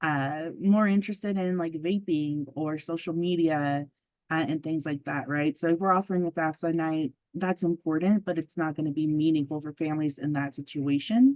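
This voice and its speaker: In a quiet background, a woman with a very deep, low pitch speaks at a moderate pace with fairly even intonation. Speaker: state family engagement specialist. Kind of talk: presentation. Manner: many fillers (um, uh).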